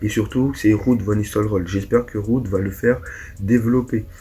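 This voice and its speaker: A man speaks at a fairly low pitch with fairly even intonation. Noticeable background noise runs underneath. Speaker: football YouTuber. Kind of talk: casual vlog commentary. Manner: hesitant, many fillers.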